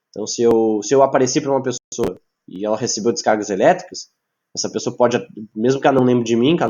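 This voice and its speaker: A man speaks at a very fast pace. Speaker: psychology lecturer. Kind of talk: online lecture.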